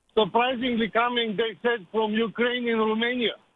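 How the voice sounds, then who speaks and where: A man speaks at a moderate pace with an extremely high pitch and fairly even intonation. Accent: Bulgarian. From Bulgaria. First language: Bulgarian. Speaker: caller. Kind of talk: radio call-in.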